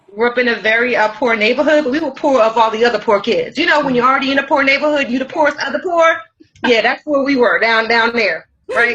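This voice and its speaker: At a very fast pace, a woman speaks in a high pitch with an American accent. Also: ordinary pitch variation. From US Northeast, Brooklyn, New York. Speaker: life coach and author. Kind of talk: interview.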